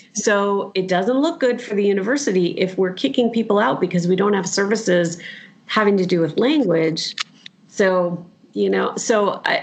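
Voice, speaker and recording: Over noticeable background noise, a woman talks at a moderate pace with an American accent. Her pitch is medium, with ordinary pitch variation. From US Southwest. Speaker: university professor. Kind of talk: interview conversation.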